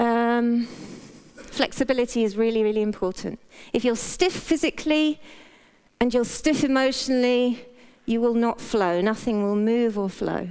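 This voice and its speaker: A woman speaks at a moderate pace in a British accent, her fairly high voice showing ordinary pitch variation. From Britain. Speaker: health practitioner giving a talk. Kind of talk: talk to a live audience. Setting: stage with audience, wearing a mic. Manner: casual, humorous.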